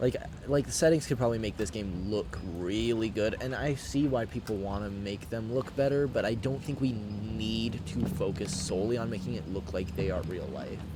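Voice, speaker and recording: Over noticeable background noise and audible room echo, a man with a fairly low voice speaks at a moderate pace with lively intonation and hardly any pauses. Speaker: streamer. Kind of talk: live gameplay commentary.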